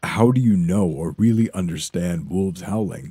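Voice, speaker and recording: Putting on a character voice, a man speaks at a very deep, low pitch. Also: moderate pace. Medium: read story. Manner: blunt, hot-tempered.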